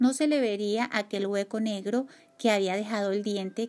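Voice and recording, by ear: The speaker reads aloud in a natural voice.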